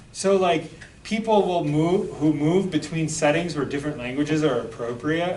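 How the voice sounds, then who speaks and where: Speaking at a moderate pace in an American accent, a man with a fairly high pitch and ordinary pitch variation is heard through noticeable background noise and audible room echo. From rural Michigan. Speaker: sociology professor. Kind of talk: lecture. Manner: conversational, many fillers.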